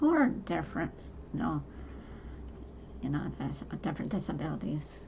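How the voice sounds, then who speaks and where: A woman's voice with audible room echo. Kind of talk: personal monologue. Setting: home. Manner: halting.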